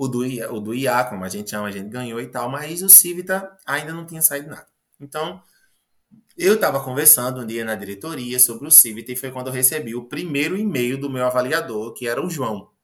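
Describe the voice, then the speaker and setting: A man with a medium-pitched voice speaks at a fairly quick pace. His intonation is lively. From Paraíba, Brazilian Northeast (Agreste). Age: 20s. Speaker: biology teacher. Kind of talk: interview. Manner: animated storytelling.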